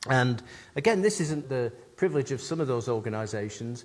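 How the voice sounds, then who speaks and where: A man speaks with an English accent at a fairly quick pace. His pitch is medium. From England. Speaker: customer experience consultant and keynote speaker. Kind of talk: conference keynote.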